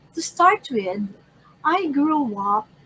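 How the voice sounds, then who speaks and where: Through noticeable background noise, a woman speaks at a very slow pace with very wide pitch swings. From Philippines, Manila. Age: 60s. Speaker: local elected official. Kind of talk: life story interview.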